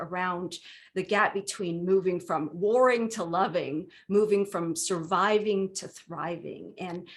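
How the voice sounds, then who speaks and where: Very slow speech from a woman at medium pitch with a Vietnamese accent, ordinary pitch variation, quiet background. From US West Coast, Southern California. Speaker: minister. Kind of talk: workshop presentation. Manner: conversational, frequent fillers.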